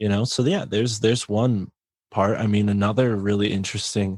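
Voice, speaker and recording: A man with a Connecticut accent speaks at a fairly low pitch with fairly even intonation, the sound dry and close with no echo in a very clean recording with a silent background. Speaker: podcaster and author. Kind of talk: casual interview chat.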